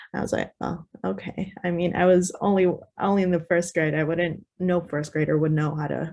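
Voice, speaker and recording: Music plays in the background as a woman with a fairly low pitch speaks at a moderate pace. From United States, child of Guatemalan immigrants. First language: Spanish. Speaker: panelist. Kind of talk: casual chat. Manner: halting.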